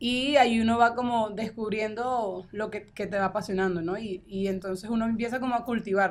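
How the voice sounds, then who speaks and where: Speaking with a plain, everyday voice, a woman talks at a fairly quick pace and fairly high pitch, with fairly even intonation and hardly any pauses. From Venezuela, Falcón. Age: 20s. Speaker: politician. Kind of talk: interview. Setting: studio.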